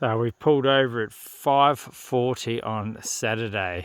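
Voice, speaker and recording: A man with an Australian accent, medium pitch, and ordinary pitch variation. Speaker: outback motorbike travel vlogger. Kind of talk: travel vlog narration. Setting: outdoors. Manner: casual, with many fillers.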